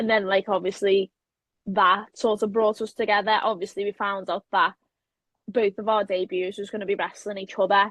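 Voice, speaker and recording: A woman with a Liverpool accent speaks at medium pitch and a moderate pace. Her intonation is monotone and flat, and the sound is dry and close with no echo. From Liverpool, England. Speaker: professional wrestler. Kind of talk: interview. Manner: casual, hesitant with many fillers.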